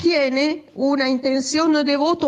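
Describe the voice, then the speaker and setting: At a fairly slow pace, a woman talks with an Italian accent. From Italy. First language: Italian (speaking Spanish). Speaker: radio interviewer. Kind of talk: interview.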